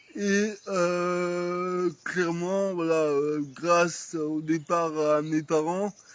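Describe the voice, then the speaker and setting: High pitch and fairly even intonation from a man. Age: 30s. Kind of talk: casual chat. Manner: hesitant.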